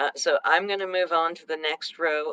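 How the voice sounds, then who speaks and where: Dry and close with no echo, a woman speaks softly in a bright, sharp tone. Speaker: co-host teaching dot art. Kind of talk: tutorial. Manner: soft-spoken.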